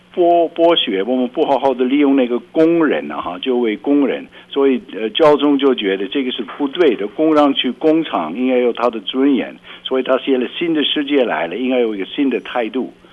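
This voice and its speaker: The speech moves at a moderate pace with hardly any pauses, over noticeable background noise. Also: man, medium pitch for a man. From rural Belgium. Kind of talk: radio interview.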